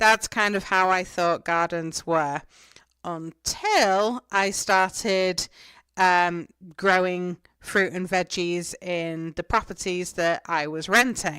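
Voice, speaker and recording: A woman with an English accent and medium pitch at a very slow pace, in a dry, close sound with no echo. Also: very clean recording, silent background. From England. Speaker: gardening podcaster. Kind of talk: podcast monologue, answering questions. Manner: casual, chatty with fillers.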